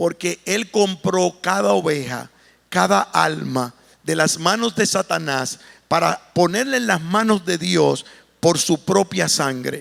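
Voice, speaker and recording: The recording is very clean with a silent background. A man speaks at a very slow pace. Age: 60s. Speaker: pastor. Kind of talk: sermon.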